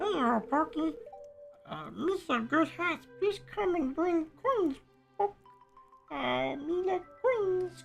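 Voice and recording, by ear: In a put-on character voice, squeaky and extremely high, someone speaks at a very slow pace with long, frequent pauses while faint music plays in the background.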